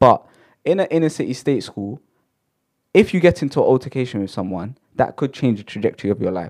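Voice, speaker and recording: In a very clean recording with a silent background, a man with a London accent talks fairly quickly in an animated tone with very wide pitch swings. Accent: London multicultural English. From London, Shepherd's Bush. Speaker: podcast co-host. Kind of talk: casual chat. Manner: animated, high energy.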